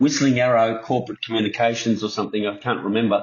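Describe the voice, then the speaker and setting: With a New Zealand accent, a man speaks at a very fast pace in a monotone, flat intonation. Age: 60s. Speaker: TV producer, radio host and tribute band host. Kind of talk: podcast interview answer. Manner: casual, chatty.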